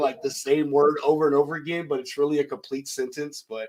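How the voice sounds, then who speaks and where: A man speaks with a Texan accent. His pitch sits fairly high. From Texas. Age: 30s. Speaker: podcast host. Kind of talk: casual chat.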